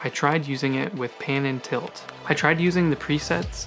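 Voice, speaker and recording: With music in the background, a man speaks at a moderate pace in a fairly high voice with ordinary pitch variation. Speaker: tech reviewer. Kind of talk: casual talk to camera.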